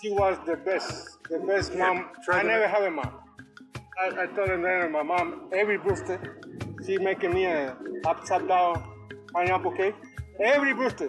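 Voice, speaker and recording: A man speaks with a high pitch at a moderate pace. Music plays in the background. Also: ordinary pitch variation. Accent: Cuban. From Cuba. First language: Spanish. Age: 60s. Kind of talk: interview answer.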